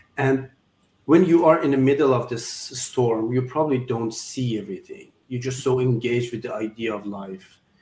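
A man with a Persian accent talks at a moderate pace in a medium-pitched, somewhat breathy voice, dark and mellow in tone, with ordinary pitch variation. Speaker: surgeon and philanthropist guest. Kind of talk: interview conversation. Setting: video call. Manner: halting, non-native English.

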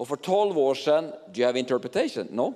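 A man's dark, mellow voice at a moderate pace. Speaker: pastor. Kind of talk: church service hosting. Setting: stage with audience.

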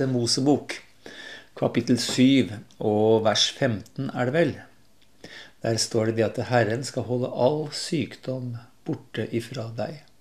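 A man's medium-pitched voice at a very slow pace, broken by long, frequent pauses. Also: fairly even intonation. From Lillehammer, eastern Norway. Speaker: nature programme presenter. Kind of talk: radio interview.

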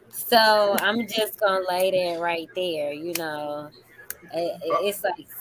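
At a very slow pace, the speaker talks with an American accent over noticeable background noise. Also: woman, medium pitch for a woman, ordinary pitch variation. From Chicago, US Midwest. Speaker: dating show contestant, poet. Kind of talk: casual chat.

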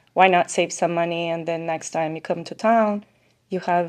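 Against a quiet background, a woman talks at a moderate pace in fairly low pitch. It is a plain, everyday voice. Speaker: timeshare sales professional. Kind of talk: podcast interview.

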